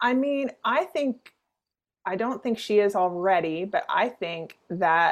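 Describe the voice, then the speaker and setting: A woman with a Canadian accent, a plain, everyday voice, lively intonation and a fairly slow pace. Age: 40s. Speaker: comedian and actress. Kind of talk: interview.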